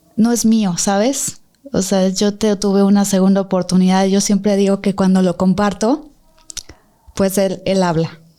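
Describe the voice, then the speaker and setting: At a fairly slow pace, a woman talks in a dark, mellow tone at medium pitch, with fairly even intonation and very even loudness. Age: 30s. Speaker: accident survivor. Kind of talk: testimony.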